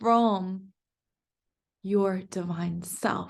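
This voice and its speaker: The speaker has a calm tone and talks at a very slow pace with ordinary pitch variation over a quiet background. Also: woman. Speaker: energy healer and spiritual mentor. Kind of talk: guided meditation. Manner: slowing down, calm.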